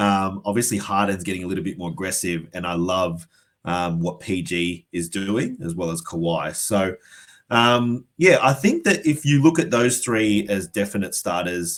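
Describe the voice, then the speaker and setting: On a very clean recording with a silent background, a man with an Australian accent speaks at a fairly low pitch and moderate pace with lively intonation. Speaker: fantasy basketball podcast guest. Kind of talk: casual chat.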